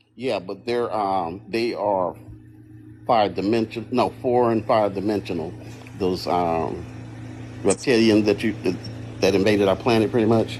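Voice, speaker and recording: A man speaks at a fairly slow pace with a fairly low pitch and fairly even intonation, leaving long, frequent pauses. Noticeable background noise sits behind him. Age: 60s. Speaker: guest on a livestream panel, engineer and Marine veteran. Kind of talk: casual panel chat.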